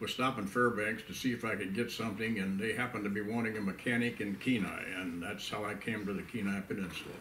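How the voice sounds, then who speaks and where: A fairly low-pitched man at a very fast pace with hardly any pauses and fairly even intonation, amid audible room echo and noticeable background noise. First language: Pennsylvania Dutch. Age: 90s. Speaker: elderly pioneer / WWII veteran. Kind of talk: oral history interview. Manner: halting, many fillers.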